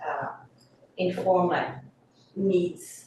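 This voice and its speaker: Amid noticeable background noise and audible room echo, a woman with a French accent speaks at a medium pitch. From France, Corsica. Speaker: coastal hazard specialist. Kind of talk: presentation at public meeting. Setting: council committee meeting.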